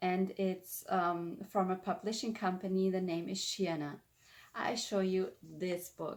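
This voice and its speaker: With a German accent, a woman talks at a medium pitch and a fairly slow pace against noticeable background noise. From Germany. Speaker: spiritual lifestyle vlogger. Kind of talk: explanatory talk to camera.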